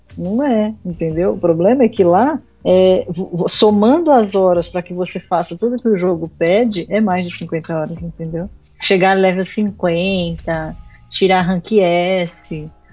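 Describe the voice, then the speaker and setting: Speaking at a fairly slow pace, a woman has an unremarkable speaking voice with a medium pitch and ordinary pitch variation. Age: 20s. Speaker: podcast guest, gamer. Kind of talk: casual chat.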